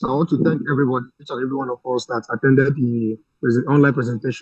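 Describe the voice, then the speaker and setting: A man with a Nigerian accent speaks at a very fast pace in a somewhat breathy voice, recorded dry and close with no echo. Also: medium pitch for a man. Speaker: webinar participant, doctor. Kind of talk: thank-you remarks in online webinar.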